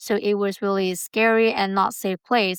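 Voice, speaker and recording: A woman with a Burmese accent speaks at a medium pitch in a flat monotone. The sound is dry and close with no echo, in a very clean recording with a silent background. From Myanmar. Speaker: community college student. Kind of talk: interview. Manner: halting.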